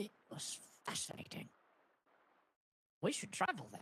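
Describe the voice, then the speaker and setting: A man puts on a character voice with a high pitch. He keeps to a moderate pace. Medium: game stream.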